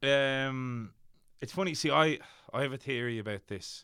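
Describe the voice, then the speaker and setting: A man with a Dublin accent and a bright, sharp tone, on a very clean recording with a silent background. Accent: Dublin Irish. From Ireland, Dublin. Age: 20s. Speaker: actor and writer. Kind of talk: casual chat.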